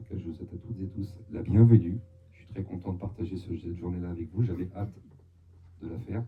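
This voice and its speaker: Over audible room echo, a man talks at a very fast pace in a very deep, low, dark and mellow voice that is somewhat breathy, with fairly even intonation. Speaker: medium. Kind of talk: live talk to an audience. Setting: hall with live audience, amplified mic. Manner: halting, with frequent hesitations.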